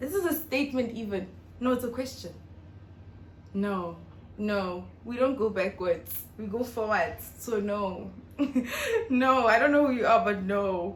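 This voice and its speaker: With audible room echo, a woman speaks at a fairly high pitch and fairly slow pace, using ordinary pitch variation and long, frequent pauses. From South Africa, North West. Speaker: YouTuber. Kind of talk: casual vlog Q&A.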